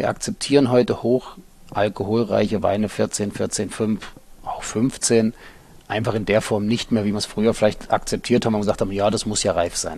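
A man with an unremarkable speaking voice talks at a moderate pace, his pitch fairly low and his intonation fairly even. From eastern Germany, Halle an der Saale. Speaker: winery director. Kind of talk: interview. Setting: dark room at the winery.

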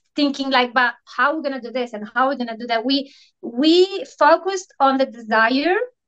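With an Italian accent, a woman speaks in a high pitch at a moderate pace. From Italy. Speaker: Instagram coach and energy healer. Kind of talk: casual interview.

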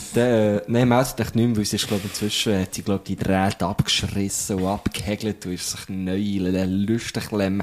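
A man's fairly low voice at a moderate pace, fairly even in intonation, with hardly any pauses and noticeable background noise. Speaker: podcast host. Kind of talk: casual chat. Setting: studio.

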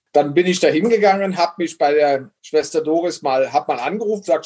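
Fairly high in pitch, a man with an unremarkable speaking voice talks at a fairly quick pace with ordinary pitch variation. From western Germany (Bitburg, Eifel). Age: 50s. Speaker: brewmaster and author. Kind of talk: casual interview chat.

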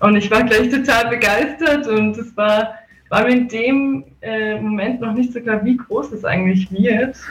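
Noticeable background noise accompanies a woman speaking fairly slowly. Her fairly high voice shows ordinary pitch variation. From Salzburg, Austria. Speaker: festival co-organizer. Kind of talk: radio interview. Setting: video call.

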